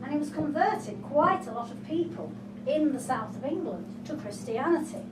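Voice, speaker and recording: Through noticeable background noise, a woman's voice moves in very wide pitch swings. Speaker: storyteller. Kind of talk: live folktale storytelling performance. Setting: live venue, pub.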